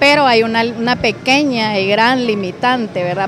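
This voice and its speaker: Against noticeable background noise in a dry sound with no echo, a woman speaks at a high pitch and fairly slow pace with ordinary pitch variation. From Guatemala, Escuintla; Guatemala. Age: 40s. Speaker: job seeker. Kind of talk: interview. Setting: job fair. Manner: halting. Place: hall. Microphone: handheld.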